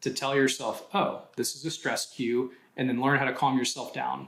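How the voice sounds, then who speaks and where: A man is speaking. His voice has vocal fry. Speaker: doctor and health company founder. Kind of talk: interview. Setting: podcast recording. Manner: fast; animated.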